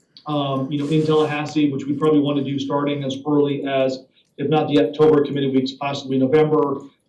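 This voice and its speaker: Very fast, monotone man, fairly high in pitch with flat intonation, audible room echo. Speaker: government lobbyist. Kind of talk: committee meeting report.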